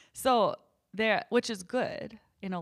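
A woman's animated voice in a rural northern US accent, on a very clean recording with a silent background. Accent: noticeable rural northern US. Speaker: singer-songwriter and podcast host. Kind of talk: casual chat with husband, plus column reading. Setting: home, recording with husband. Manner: animated, laughs often.

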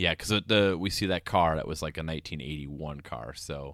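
A man's very deep, low voice with vocal fry and ordinary pitch variation at a moderate pace, in a very clean recording with a silent background. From rural area. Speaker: podcast co-host. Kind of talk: casual chat.

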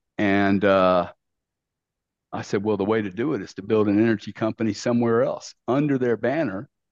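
A man with a Louisiana accent talks at a moderate pace in a fairly low pitch, with ordinary pitch variation and a dry, close sound with no echo. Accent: Southern US (Louisiana). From US South, Louisiana. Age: 60s. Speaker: business executive and investor. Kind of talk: casual interview. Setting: remote call. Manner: animated.

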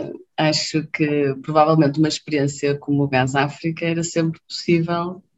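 A woman's very deep, low-pitched voice in monotone, flat intonation, at a moderate pace with hardly any pauses. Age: 30s. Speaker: infectious disease doctor. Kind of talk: casual interview.

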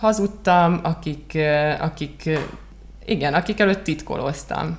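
The talking moves at a fairly slow pace against noticeable background noise. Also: woman. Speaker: marketing consultant and podcast co-host. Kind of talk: casual chat. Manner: halting.

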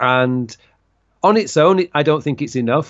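A man speaks with a Yorkshire accent. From northern England (Leeds). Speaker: productivity coach. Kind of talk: interview.

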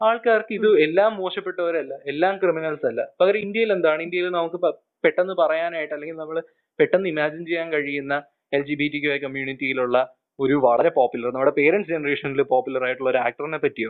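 A man talks in a plain, everyday voice. His pitch is fairly high, with ordinary variation. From Kerala, India. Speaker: student and youth activist. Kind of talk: interview.

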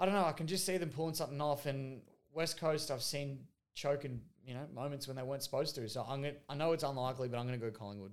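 Speaking very fast with an Australian accent, a man of fairly high pitch shows ordinary pitch variation on a very clean recording with a silent background. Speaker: football podcast co-host. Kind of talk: casual chat.

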